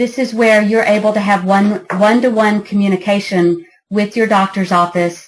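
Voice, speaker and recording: A woman with a plain, everyday voice speaks at a moderate pace, her intonation fairly even. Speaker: app founder giving a product demo. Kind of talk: product demo presentation.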